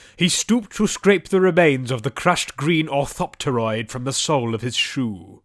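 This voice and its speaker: A man at a fairly high pitch with lively intonation, a moderate pace and hardly any pauses, an ordinary speaking voice, in a dry, close sound with no echo. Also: very clean recording, silent background. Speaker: audiobook narrator. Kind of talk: audiobook narration, fantasy adventure.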